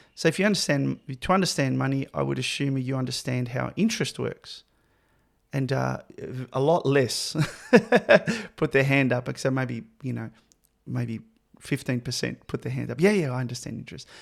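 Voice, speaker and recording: A man with an Australian accent speaks at a moderate pace, leaving long, frequent pauses. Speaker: podcast host. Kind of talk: interview conversation.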